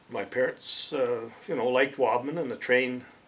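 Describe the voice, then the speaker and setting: This man talks at a fairly slow pace with fairly even intonation and a medium pitch. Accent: western Canadian. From Alberta, Canada. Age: 70s. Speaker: local resident interviewee. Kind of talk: oral history interview. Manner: hesitant, many fillers.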